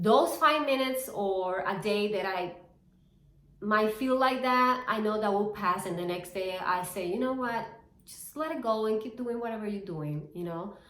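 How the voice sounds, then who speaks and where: Over noticeable background noise and audible room echo, a woman speaks at medium pitch and a moderate pace with ordinary pitch variation. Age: 40s. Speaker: fitness and reselling vlogger. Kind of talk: personal vlog monologue. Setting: talking to camera. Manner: casual, halting with fillers.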